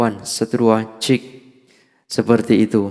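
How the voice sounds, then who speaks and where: The voice has a dark, mellow tone, monotone, flat intonation and a fairly slow pace. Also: man. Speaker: audio gear youtuber. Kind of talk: product demo. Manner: casual, filler-heavy. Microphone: cheap dynamic mic through sound card with effects.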